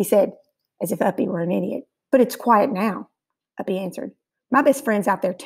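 The background stays quiet behind a natural reading voice.

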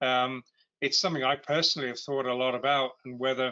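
A man speaks at a moderate pace and medium pitch, with fairly even intonation. The background is quiet. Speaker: podcast host. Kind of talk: interview. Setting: video call. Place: home room. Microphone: video call.

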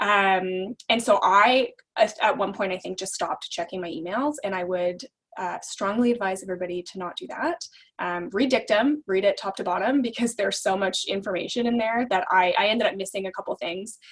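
A woman with a Canadian accent speaks in a plain, everyday voice at a medium pitch, with ordinary pitch variation and a fairly quick pace. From Alberta, Canada. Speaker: law clerk. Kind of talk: casual interview.

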